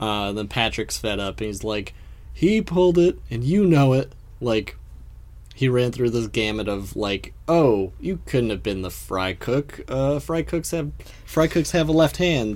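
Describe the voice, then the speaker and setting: A man's normal speaking voice, medium in pitch, with lively intonation at a fairly slow pace. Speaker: podcast co-host. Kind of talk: casual chat, podcast recap. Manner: playful, joking.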